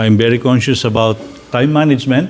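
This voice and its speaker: A man in a Filipino accent with ordinary pitch variation. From Philippines. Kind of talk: talk with guided reflection. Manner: slow.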